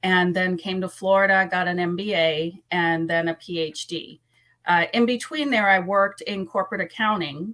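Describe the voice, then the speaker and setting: A woman speaks with an American accent at medium pitch and a moderate pace. Her tone is bright and sharp, her pitch varies in an ordinary way, and the recording is very clean with a silent background. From US Virgin Islands, Saint Thomas. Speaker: school board candidate. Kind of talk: interview.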